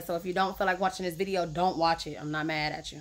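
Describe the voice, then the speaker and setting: A woman speaks very fast in a bright, sharp tone, her intonation fairly even. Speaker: vlogger. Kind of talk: casual vlog chat. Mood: frustrated, blunt. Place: garage. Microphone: phone near.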